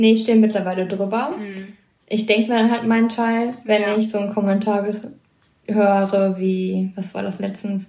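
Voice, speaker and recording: Somewhat breathy and dark, mellow in tone, a woman speaks at medium pitch and a moderate pace with monotone, flat intonation. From Lower Rhine, Germany. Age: 20s. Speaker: hospital medical technician. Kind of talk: casual interview.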